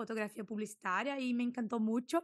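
In a Portuguese accent, a woman speaks at a high pitch with ordinary pitch variation. The background is quiet and the sound is dry, with no echo. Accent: Portuguese-accented Spanish, portuñol. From southern Brazil, Santa Maria; southern Brazil. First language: Portuguese (speaking Spanish). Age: 20s. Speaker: food and product photographer; podcast guest. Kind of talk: podcast interview. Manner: hesitant, with fillers. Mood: friendly, smiling. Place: home room. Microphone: studio mic.

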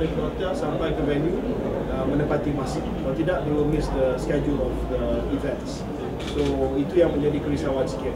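Loud background noise fills the recording. Over it, a man talks at a fairly quick pace. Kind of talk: interview answer. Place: office.

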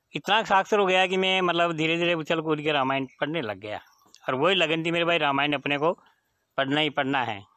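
Against a quiet background, a man talks at a moderate pace with fairly high pitch and ordinary pitch variation, the sound dry with no echo. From Tonk district, Rajasthan, India; Rajasthan, India. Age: 50s. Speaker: schoolteacher. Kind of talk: personal life story. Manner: halting. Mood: warm, relaxed storytelling. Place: open country. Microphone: phone near.

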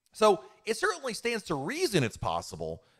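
Over a quiet background, a man talks at a fairly quick pace with vocal fry. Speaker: YouTube livestream host answering chat questions. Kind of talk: live stream Q&A answer. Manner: casual, conversational. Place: home room. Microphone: studio mic.

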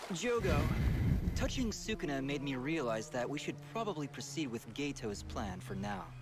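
Clear music plays in the background as a man speaks at a moderate pace in a dry sound with no echo. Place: home room. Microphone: headset.

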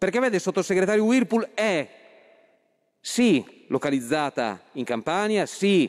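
A man at a fairly slow pace, with very wide pitch swings, against a quiet background. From Friuli Venezia Giulia, Italy. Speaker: politician, member of parliament. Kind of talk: parliamentary speech. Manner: halting, with many fillers. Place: hall. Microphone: podium.

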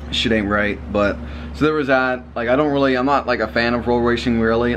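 A man speaks at a fairly quick pace, and light background noise can be heard. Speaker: car vlogger. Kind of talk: casual vlog chat. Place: home room. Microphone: phone near.

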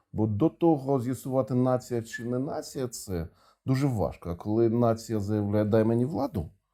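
With a Russian accent, a man talks at a moderate pace in a dark, mellow tone, his pitch medium for a man with ordinary variation, on a very clean recording with a silent background. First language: Russian (speaking Ukrainian). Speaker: interviewer. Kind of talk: interview.

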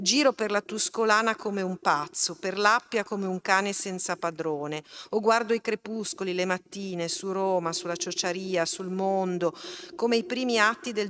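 A woman talks fairly slowly, her pitch varying in an ordinary way, with light background noise behind her. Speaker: event moderator and university lecturer; event moderator, university lecturer. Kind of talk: public talk moderation. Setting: stage with live audience, streamed. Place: hall. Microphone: podium.

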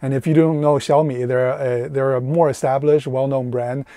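Intonation stays fairly even at a fairly quick pace, with a dry sound with no echo and a quiet background. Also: man. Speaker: van life reviewer. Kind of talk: product review vlog. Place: car. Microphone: lapel.

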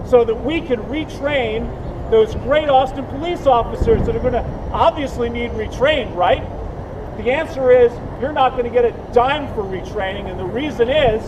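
With noticeable background noise behind him, a man speaks at a moderate pace with extremely high pitch and ordinary pitch variation. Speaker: speaker. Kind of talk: public speech. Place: street. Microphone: camera far.

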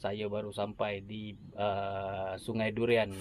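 Very slow speech with a dry sound and no echo. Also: man. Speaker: fishing vlogger. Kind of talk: casual vlog chat. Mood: relaxed, cheerful. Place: boat. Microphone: phone near.

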